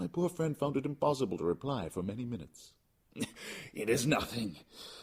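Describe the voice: Text is being read out loud. The reading is plain.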